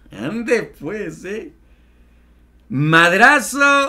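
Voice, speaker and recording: A man with a Mexican accent speaks in a raised, projected voice with an animated tone. Faint music plays in the background. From Mexico. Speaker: political commentary YouTuber. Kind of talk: news commentary. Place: home room.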